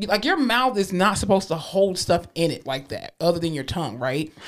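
An animated speaker with a Southern US accent talks at a fairly quick pace. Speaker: podcast co-host. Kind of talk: casual chat.

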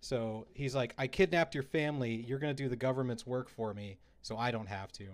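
Over a very clean recording with a silent background, a man with an unremarkable speaking voice talks at a fairly quick pace with ordinary pitch variation. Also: medium pitch for a man. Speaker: video game podcast host. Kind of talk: casual chat.

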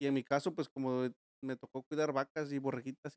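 Fairly high-pitched man's voice in a monotone, flat delivery, with a dry, close sound and no echo. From Mexico, Guerrero. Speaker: podcast host. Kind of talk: casual chat. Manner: fast.

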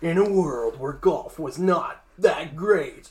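Someone puts on a character voice. The delivery comes at a very slow pace. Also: man, high pitch for a man. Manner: epic, grandiose.

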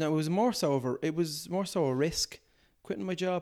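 A man with a Dublin accent speaks at a moderate pace with ordinary pitch variation, on a very clean recording with a silent background. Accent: Dublin Irish. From Ireland, Dublin (Portmarnock). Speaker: comedian and impressionist. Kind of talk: casual interview chat.

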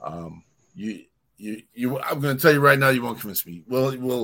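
Ordinary pitch variation accompanies a bright, sharp tone in this voice. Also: man. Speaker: radio show host. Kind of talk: casual chat. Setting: at home. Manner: animated.

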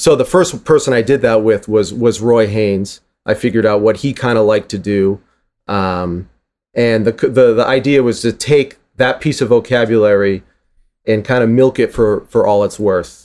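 Against a silent background in a very clean recording, an ordinary speaking voice with an American accent goes at a moderate pace with ordinary pitch variation. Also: man, medium pitch for a man. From Boston, Massachusetts. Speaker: drummer, author and drum educator. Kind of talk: interview conversation. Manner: casual.

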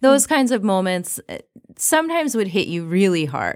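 Her intonation lively and her pace moderate, a woman talks in a normal speaking voice. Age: 30s. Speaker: health coach. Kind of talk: interview conversation.

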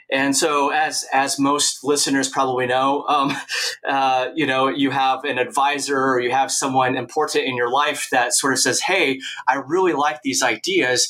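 This man speaks in a monotone, flat intonation at very even loudness, with noticeable background noise behind him. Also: fairly high pitch for a man, moderate pace. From Oregon, US Northwest. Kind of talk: interview. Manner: hesitant with frequent fillers.

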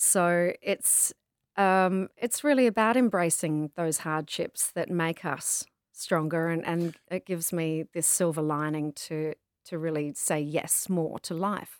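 A woman's fairly low voice with an Australian accent, at a fairly slow pace, with ordinary pitch variation and a dry, close sound free of echo, on a very clean recording over a silent background. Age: 40s. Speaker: travel writer, pilgrim. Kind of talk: interview, casual chat.

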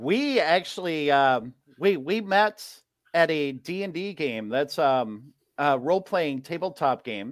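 A man talks at a fairly slow pace with lively intonation. His pitch is fairly high. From Wisconsin, US Midwest. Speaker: teacher and children's author. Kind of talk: casual interview. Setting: video call.

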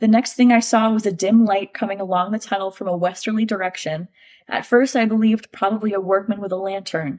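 The speaker talks at a very fast pace in an animated tone. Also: woman, medium pitch for a woman. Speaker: podcast host. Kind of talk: casual chat. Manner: animated, excitable.

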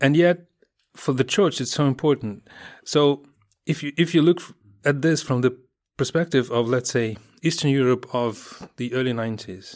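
Recorded very cleanly against a silent background, the voice with a Russian accent moves at a moderate pace with ordinary pitch variation. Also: man. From Russia, Moscow. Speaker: journalist and editor. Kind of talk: interview answers. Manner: halting, many fillers.

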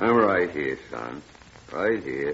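A put-on character voice from a man, extremely low in pitch, with vocal fry, a fairly bright tone, big pitch swings and a slow pace

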